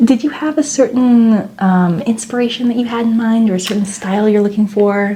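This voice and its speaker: Hardly pausing, a woman with a plain, everyday voice speaks at a fairly high pitch with ordinary pitch variation. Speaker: ASMR roleplay artist (chiropractor, makeup artist). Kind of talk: ASMR roleplay, soft-spoken. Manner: soft-spoken, slow, gentle.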